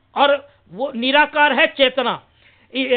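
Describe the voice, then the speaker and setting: This man talks in an extremely high pitch, with intonation that stays fairly even. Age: 60s. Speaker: social activist against superstition. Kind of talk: talk to camera. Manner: halting, many fillers.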